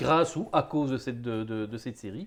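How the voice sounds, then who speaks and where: This man's intonation is lively, and his pitch is medium. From Belgium. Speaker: board game interviewer. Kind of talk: interview.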